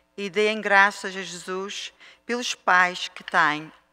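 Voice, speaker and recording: Music plays in the background. The speech is very slow and solemn in tone. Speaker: lector and prayer leader at Mass. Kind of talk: fervent prayer, petitions of the faithful. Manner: solemn, earnest, pleading, devout. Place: church. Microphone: podium.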